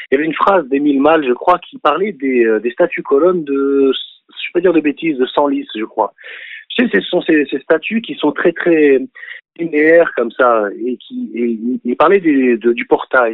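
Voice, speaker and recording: A man's fairly high voice, lively in intonation, at a fairly slow pace. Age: 40s. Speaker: activist and art teacher. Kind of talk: phone-in interview. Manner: halting.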